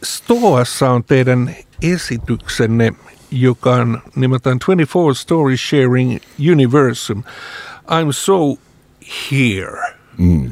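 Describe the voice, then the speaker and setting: Amid noticeable background noise, a man at medium pitch speaks very slowly with long, frequent pauses, ordinary pitch variation and very even loudness. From Lapland, Finland. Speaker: radio host. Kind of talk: casual interview. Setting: studio.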